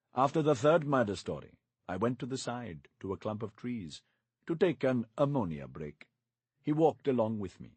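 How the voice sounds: Intonation is lively in a natural reading voice. Behind it, the background stays quiet.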